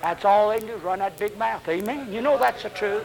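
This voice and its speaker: The speaker has a strong Southern US accent and ordinary pitch variation. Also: man. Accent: Southern US, fairly strong. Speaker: Baptist preacher. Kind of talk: 1970s Baptist sermon, evangelistic preaching to a congregation. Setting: church with congregation. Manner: animated, fiery, exhorting with call-and-response; folksy, humorous, uses vivid fish illustrations.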